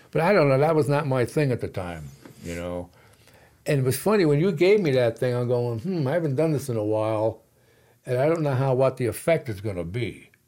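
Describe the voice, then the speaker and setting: In a New York accent, a man talks at a fairly quick pace and medium pitch. His dark, mellow voice swings very widely in pitch. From New York City. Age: 70s. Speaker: military veteran and jiu-jitsu student. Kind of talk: casual chat.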